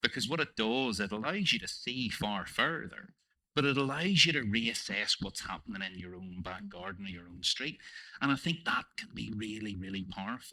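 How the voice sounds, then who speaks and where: With a Northern Irish accent, a man speaks at a moderate pace and medium pitch, his bright, sharp tone carrying lively intonation and big swings in loudness. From Northern Ireland. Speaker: panel moderator. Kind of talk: panel discussion. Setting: stage with audience.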